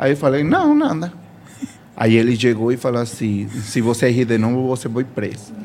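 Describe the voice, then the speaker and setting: A man speaks with a Spanish accent. His intonation is fairly even. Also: medium pitch for a man, moderate pace. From Venezuela. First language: Spanish (speaking Portuguese). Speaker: bar worker. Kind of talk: casual chat. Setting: radio studio. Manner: halting.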